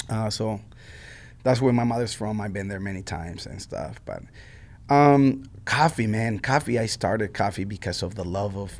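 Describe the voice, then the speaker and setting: A man's fairly low voice with a Mexican accent, at a moderate pace with ordinary pitch variation. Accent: Mexican Spanish accent, noticeable. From Mexico. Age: 40s. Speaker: coffee shop owner. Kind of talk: interview. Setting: music school room. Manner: casual, many fillers and repetitions.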